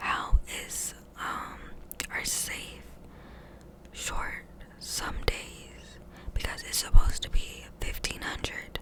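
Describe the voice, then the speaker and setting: A woman whispering at a very slow pace, with big swings in loudness, long, frequent pauses and noticeable background noise. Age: 20s. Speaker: fast food manager. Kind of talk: ASMR rambling, casual talk to camera. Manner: whispered, chatty.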